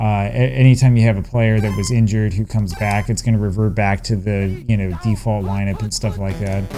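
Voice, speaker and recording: Music plays in the background. A man with a fairly low pitch speaks at a fairly quick pace. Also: ordinary pitch variation, hardly any pauses. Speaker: retro video game streamer. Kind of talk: gameplay commentary. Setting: at home. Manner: many filler words (um, uh); casual, relaxed.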